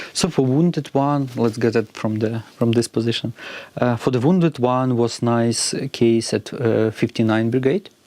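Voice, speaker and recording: A man with a Ukrainian accent, medium pitch and ordinary pitch variation at a moderate pace. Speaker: robotics company co-founder. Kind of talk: interview. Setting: studio. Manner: halting, with many fillers.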